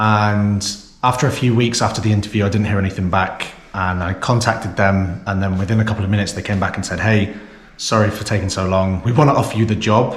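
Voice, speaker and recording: Delivered at a very fast pace with fairly even intonation, the speech carries audible room echo. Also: man, fairly low pitch for a man. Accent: British. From England (Lancaster, Oxford, Southampton). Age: 30s. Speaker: vlogger. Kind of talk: casual vlog monologue. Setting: office, filmed on GoPro.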